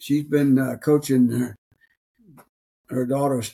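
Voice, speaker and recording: A man with an Alabama accent talks at a fairly slow pace in a medium pitch, his dark, mellow tone carried by monotone, flat intonation. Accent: Alabama Southern US. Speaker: podcast co-host. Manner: casual, folksy.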